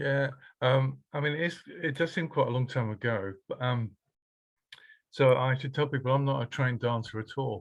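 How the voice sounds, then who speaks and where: At a moderate pace, a man speaks with a somewhat breathy voice at medium pitch, his intonation fairly even over a quiet background. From Norfolk, eastern England. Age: 60s. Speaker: workshop participant. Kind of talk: panel discussion. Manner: halting.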